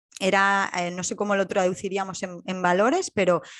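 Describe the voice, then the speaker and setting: This is a plain, everyday voice. It moves at a moderate pace. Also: woman. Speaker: podcast host. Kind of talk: podcast interview.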